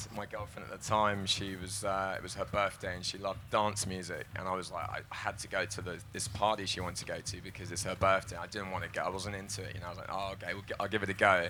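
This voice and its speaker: Talking at a very fast pace, a man keeps a monotone, flat intonation. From London, England. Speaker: psytrance producer and DJ. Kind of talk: panel discussion.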